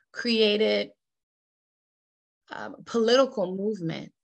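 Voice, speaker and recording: A woman's medium-pitched voice with ordinary pitch variation, set against a quiet background. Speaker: workshop facilitator. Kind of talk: interactive workshop presentation.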